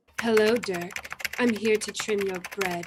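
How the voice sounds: A husky, put-on character voice with a fairly high pitch. It moves at a fairly slow pace.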